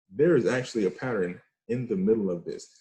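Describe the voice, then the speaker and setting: This man's medium-pitched voice has a dark, mellow tone, is somewhat breathy and carries lively intonation. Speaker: forex trading teacher. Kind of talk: trading tutorial. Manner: fast; animated.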